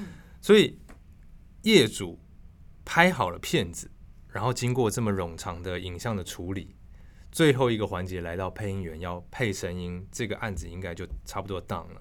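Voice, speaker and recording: A man's very deep, low voice at a moderate pace, with ordinary pitch variation, big swings in loudness and long, frequent pauses. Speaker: voice actor, former news anchor. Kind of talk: casual interview. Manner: crisp, precise newsreader articulation.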